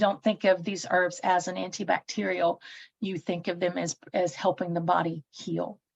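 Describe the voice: A woman's voice with a Southern US accent, vocal fry and fairly even intonation, in a dry, close sound with no echo. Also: fairly low pitch for a woman, moderate pace.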